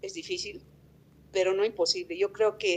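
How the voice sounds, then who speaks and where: Her medium pitch and ordinary pitch variation carry a woman's speech at a moderate pace. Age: 50s. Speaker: tourism business representative. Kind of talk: interview. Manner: hesitant, with fillers.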